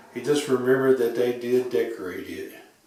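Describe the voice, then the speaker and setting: Speaking at a moderate pace, a man has a fairly high pitch. Noticeable background noise runs underneath. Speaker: woodworker. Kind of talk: reading aloud a written school report.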